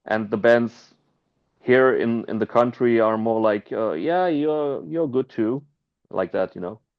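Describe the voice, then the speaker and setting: The speaker has a German accent and talks at a fairly slow pace. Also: man, medium pitch for a man, lively intonation. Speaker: punk band musician. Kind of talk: interview. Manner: halting.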